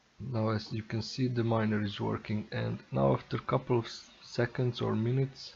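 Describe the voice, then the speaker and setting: He speaks at a moderate pace in a non-native accent. The man's pitch is medium. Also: ordinary pitch variation, hardly any pauses. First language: not English. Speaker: tech tutorial youtuber. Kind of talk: tutorial. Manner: halting.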